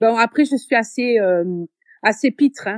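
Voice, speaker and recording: In a strong southern French accent, a woman talks at a moderate pace with ordinary pitch variation, the sound dry and close with no echo. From southern France (Béziers). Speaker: teacher. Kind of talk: interview. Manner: hesitant, many fillers.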